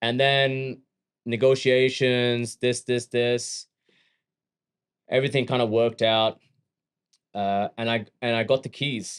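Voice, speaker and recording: In a dry, close sound with no echo, a man with an Australian accent speaks at medium pitch. His delivery is very slow and monotone, with long, frequent pauses. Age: 30s. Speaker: gym owner and fitness entrepreneur. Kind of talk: casual interview chat.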